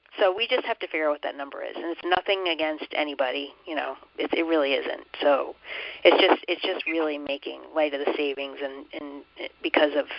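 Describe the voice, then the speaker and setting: A woman at a fairly quick pace, with big swings in loudness and noticeable background noise. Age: 50s. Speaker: committee chair. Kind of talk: online committee meeting discussion. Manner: hesitant, many fillers.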